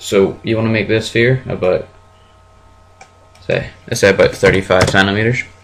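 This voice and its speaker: A man's flat, monotone delivery at a moderate pace, with long, frequent pauses and noticeable background noise. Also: medium pitch for a man. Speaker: software tutorial maker. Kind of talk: screen-recorded tutorial. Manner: casual, hesitant.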